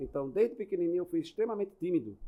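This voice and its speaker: Lively intonation runs through this man's speech. His pitch sits high. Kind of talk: casual interview chat. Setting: podcast studio.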